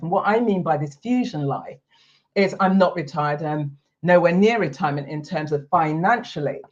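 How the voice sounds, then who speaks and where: Her voice is somewhat breathy and fairly low for a woman. She talks at a moderate pace with lively intonation. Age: 60s. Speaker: retirement lifestyle coach and video host. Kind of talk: talking-head explainer video.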